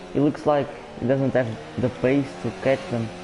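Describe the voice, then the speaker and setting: A man speaks with a Portuguese accent in a fairly high pitch for a man. Noticeable background noise sits behind him. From Portugal. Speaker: sim racing league commentator. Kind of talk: live commentary. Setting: live stream.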